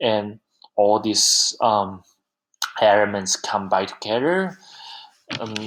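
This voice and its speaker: Speaking at a very slow pace, a man with a Chinese accent keeps a medium pitch and ordinary pitch variation. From southern China. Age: 20s. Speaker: university student. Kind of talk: class presentation. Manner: halting, many fillers.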